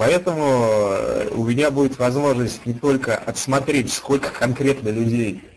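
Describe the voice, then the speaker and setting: Speaking at a fairly slow pace, a man with an unremarkable speaking voice keeps a medium pitch and ordinary pitch variation. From Russia, Ufa (Bashkortostan). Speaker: online game player, former radio and TV journalist. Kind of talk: interview.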